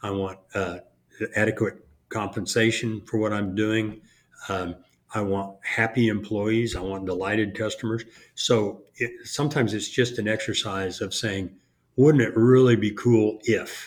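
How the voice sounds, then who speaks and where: In a plain, everyday voice, a man speaks at a fairly slow pace with a fairly low pitch and fairly even intonation. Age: 60s. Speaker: contracting business coach. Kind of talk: casual chat.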